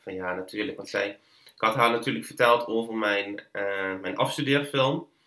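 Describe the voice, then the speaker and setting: A man talks at a medium pitch and a moderate pace, with ordinary pitch variation. His tone is bright and sharp, and his loudness swings widely. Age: 20s. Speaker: filmmaker and podcast maker. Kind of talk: interview conversation. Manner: halting, many fillers and repetitions.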